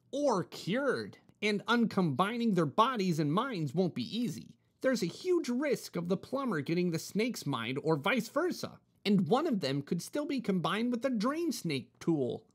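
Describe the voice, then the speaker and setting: A put-on character voice at a middle pitch, with very wide pitch swings. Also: moderate pace. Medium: read story. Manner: earnest, explanatory.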